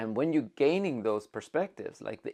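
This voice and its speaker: This man has a fairly high pitch, very wide pitch swings and vocal fry at a fairly slow pace. The recording is very clean, with a silent background. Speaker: self-help vlogger. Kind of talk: casual unscripted monologue. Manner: loud; halting, self-correcting.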